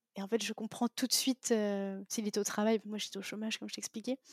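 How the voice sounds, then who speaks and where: A woman with a fairly high pitch is heard in a dry, close sound with no echo. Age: 20s. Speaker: podcast host, digital marketer. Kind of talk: interview, casual chat. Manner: halting, many fillers; animated.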